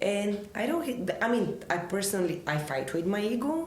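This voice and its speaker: With a Bulgarian accent and lively intonation, a woman speaks over audible room echo and noticeable background noise. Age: 30s. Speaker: filmmaker and actress. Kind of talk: interview conversation.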